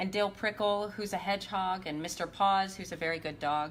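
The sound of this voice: The delivery is an unforced reading voice. It has ordinary pitch variation.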